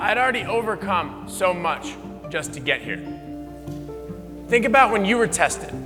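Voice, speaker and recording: Music plays in the background as a man talks with an American accent. His pitch swings very widely. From United States. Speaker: Olympic BMX champion and motivational speaker. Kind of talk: motivational keynote speech.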